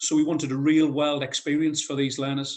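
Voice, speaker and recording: At a very fast pace, a man with a northeast English accent talks in monotone, flat intonation. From North East England. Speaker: head of construction at a college. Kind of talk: conference presentation. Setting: video call.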